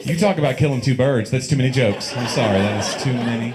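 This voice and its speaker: A man with a Tennessee accent speaks at a very fast pace. There is audible room echo, and crowd noise fills the background. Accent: Southern US (Tennessee). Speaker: stand-up comedian. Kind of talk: stand-up. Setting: stage with audience.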